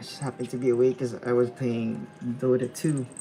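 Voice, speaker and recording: Over music in the background, the speaker is soft-spoken and keeps a moderate pace. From Philippines. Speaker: freelance illustrator streaming live drawing. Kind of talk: casual live-stream chat while drawing. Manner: quiet, soft-spoken; halting, repeats words.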